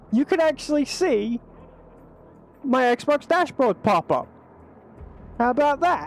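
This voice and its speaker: The speaker is loud, moving at a fairly slow pace with long, frequent pauses. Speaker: gaming streamer. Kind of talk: live gameplay stream chat. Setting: home streaming setup on PC.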